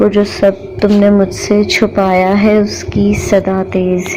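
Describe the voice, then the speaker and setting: Noticeable background noise accompanies the speaker. She is a woman with a medium-pitched voice. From Pakistan. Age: young. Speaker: poet. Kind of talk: poetry reading.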